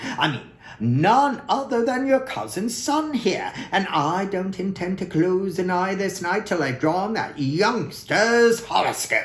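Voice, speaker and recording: The speaker uses a put-on character voice with lively intonation. The pace is fairly slow. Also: man, high pitch for a man. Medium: read story. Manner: earnest, collegial.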